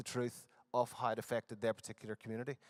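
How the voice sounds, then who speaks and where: A man speaks at a medium pitch in a Northern Irish accent, the sound dry and close with no echo. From Northern Ireland. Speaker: conference presenter. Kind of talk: conference presentation. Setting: conference hall with audience. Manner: hesitant, many fillers.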